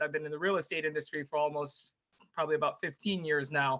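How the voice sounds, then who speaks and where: A woman's bright, sharp tone in a monotone, flat delivery. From Jamaica. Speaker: former Olympic athlete and public speaker. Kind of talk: interview.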